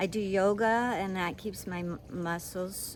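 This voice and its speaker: A woman talks at a very slow pace with fairly even intonation. Audible room echo surrounds her voice. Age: 60s. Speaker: travel vlogger. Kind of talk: casual travel vlog monologue. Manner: halting, many fillers.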